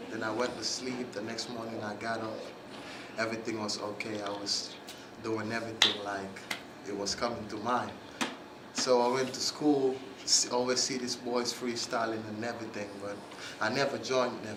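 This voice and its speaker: A man with a Gambian accent speaks at a moderate pace and medium pitch, in a monotone with flat intonation and long, frequent pauses. The room echo is audible, and the background noise is noticeable. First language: Mandinka. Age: young. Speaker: rapper. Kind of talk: interview.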